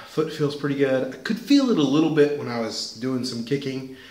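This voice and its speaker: Audible room echo and light background noise accompany a man as he talks. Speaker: martial arts vlogger. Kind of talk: casual vlog chat. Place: home room. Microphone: webcam.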